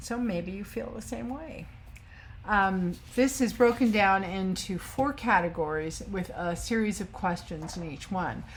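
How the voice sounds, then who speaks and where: A woman speaks at a fairly slow pace and medium pitch, with lively intonation and vocal fry. Her loudness swings widely, and audible room echo surrounds her. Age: 60s. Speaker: sewing vlogger. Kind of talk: casual chat. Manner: hesitant, many fillers.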